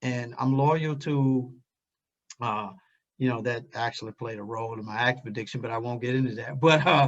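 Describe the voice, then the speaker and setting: Medium pitch from a man, a moderate pace, and fairly even intonation. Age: 60s. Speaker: recovery fellowship member and event speaker. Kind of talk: personal testimony at online event. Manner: halting, with fillers.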